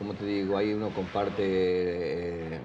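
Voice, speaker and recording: Speech comes at a fairly slow pace with fairly even intonation. Audible room echo and noticeable background noise are present. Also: man. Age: 60s. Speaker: former footballer and coach. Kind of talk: interview testimony.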